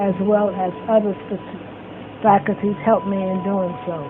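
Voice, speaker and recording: Noticeable background noise sits behind a fairly slow speaker with an American accent. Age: old. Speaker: longtime resident sharing memories. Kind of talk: testimony.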